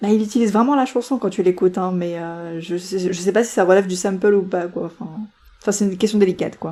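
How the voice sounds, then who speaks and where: Speaking at a very fast pace, a woman has a medium pitch, a dark, mellow tone and ordinary pitch variation. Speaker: podcast co-host. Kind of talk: casual chat.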